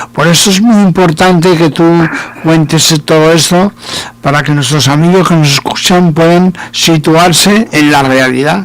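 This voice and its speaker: Speaking at a fairly slow pace, a man with a high pitch keeps his loudness very even and his intonation fairly even, with noticeable background noise behind him. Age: 60s. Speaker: radio host. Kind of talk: interview.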